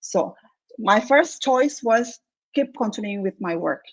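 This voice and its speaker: A woman with a fairly high pitch speaks with a non-native accent. Her pitch variation is ordinary. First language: not English. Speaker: engineer turned online entrepreneur. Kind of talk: interview testimony. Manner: halting.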